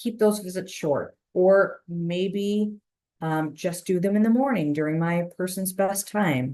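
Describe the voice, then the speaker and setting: Speaking fairly slowly, a woman has an ordinary speaking voice at a medium pitch. She talks with an American accent. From Chicago. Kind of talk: webinar presentation. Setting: online webinar.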